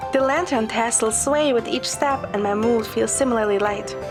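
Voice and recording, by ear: Clear music plays in the background as a woman speaks at a moderate pace. Her fairly high pitch shows ordinary pitch variation.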